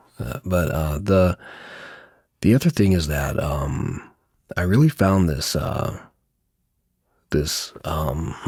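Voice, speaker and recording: A soft-spoken man with a very deep, low pitch talks at a very slow pace, leaving long, frequent pauses. His pitch varies in an ordinary way, and the recording is very clean with a silent background. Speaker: video creator. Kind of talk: casual monologue vlog. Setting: quiet room while traveling. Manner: halting, many fillers.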